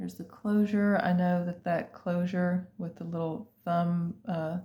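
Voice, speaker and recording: Quiet and somewhat breathy, a woman speaks fairly slowly at a fairly low pitch, her tone dark and mellow and her intonation monotone and flat. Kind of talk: sales presentation. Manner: casual, hesitant with fillers; lower, quieter voice.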